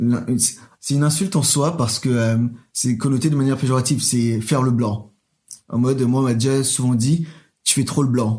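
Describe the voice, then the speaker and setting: A man's dark, mellow, somewhat breathy voice at medium pitch and moderate pace, with ordinary pitch variation and big swings in loudness, in a very clean recording with a silent background. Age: 20s. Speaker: drag queen. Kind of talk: interview. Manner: hesitant.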